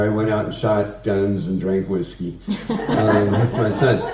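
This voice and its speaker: A man with an American accent speaks at a fairly low pitch. Noticeable background noise and audible room echo surround him. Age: 70s. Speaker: congregation member, community organizer. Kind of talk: announcement.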